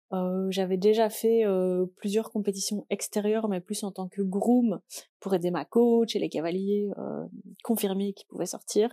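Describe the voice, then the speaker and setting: Dark, mellow tone from a woman at a fairly slow pace, with monotone, flat intonation and a dry, close sound with no echo. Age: 20s. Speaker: podcaster and amateur horse rider. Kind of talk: casual solo chat.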